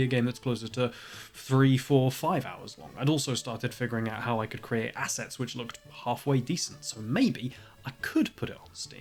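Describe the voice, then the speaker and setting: Speaking at a fairly quick pace, a man with a British accent has a medium pitch. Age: 20s. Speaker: indie game developer. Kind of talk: devlog narration.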